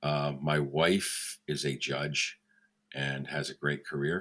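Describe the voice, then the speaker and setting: A man with a very deep, low pitch speaks in a bright, sharp tone with vocal fry. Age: 60s. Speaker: mentalist, lawyer and mentor. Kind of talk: casual interview.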